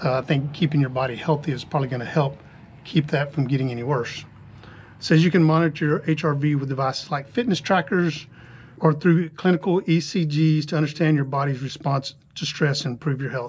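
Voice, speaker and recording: A man's fairly high, somewhat breathy voice at a fairly quick pace, with fairly even intonation. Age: 60s. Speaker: retired cyclist vlogger. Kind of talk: casual vlog talk. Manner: casual with fillers.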